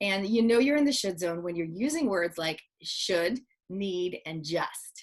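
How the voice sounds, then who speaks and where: In an ordinary speaking voice, a woman with a medium pitch talks at a fairly slow pace with lively intonation. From Canada. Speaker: speaker and parenting author. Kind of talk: interview.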